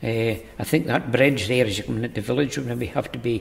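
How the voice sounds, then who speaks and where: Vocal fry and fairly even intonation at a fairly quick pace. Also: man. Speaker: village resident. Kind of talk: interview answer.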